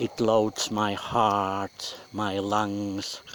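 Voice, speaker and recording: Amid noticeable background noise, a man with a non-native accent speaks at a fairly low pitch in a monotone, flat intonation. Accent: non-native English speaker. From Finland. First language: Finnish. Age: 50s. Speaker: audio blogger. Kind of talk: personal audio blog monologue. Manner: slow; clear, not linking words.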